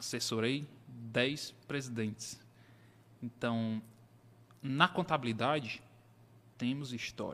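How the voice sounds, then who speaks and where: A man at medium pitch speaks in a bright, sharp tone with ordinary pitch variation. His pace is very slow, with long, frequent pauses. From Brazil, Piauí (Teresina). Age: 30s. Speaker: accountant. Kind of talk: interview.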